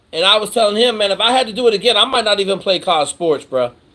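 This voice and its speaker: The voice carries an American accent and a bright, sharp tone. Its intonation is lively. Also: man. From Washington state, near Fort Lewis. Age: 50s. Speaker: former special operations pilot, military mentor. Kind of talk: live Q&A stream. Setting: video call livestream; outdoors at the beach. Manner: animated, profane and casual.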